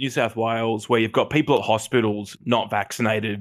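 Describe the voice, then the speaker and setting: In an Australian accent, a man talks at medium pitch and a fairly quick pace. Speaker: comedy podcast co-host. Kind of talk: casual chat. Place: home room. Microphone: headset.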